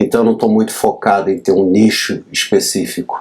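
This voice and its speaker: A man is speaking. His pace is moderate. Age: 60s. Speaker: graphic designer. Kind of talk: tutorial. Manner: casual, slightly halting.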